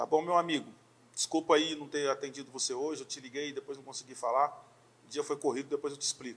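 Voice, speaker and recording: This man talks at a very fast pace, his pitch fairly high and his intonation flat and monotone. His loudness swings widely. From Brazil, interior of São Paulo state. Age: 40s. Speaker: pastor. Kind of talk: casual chat.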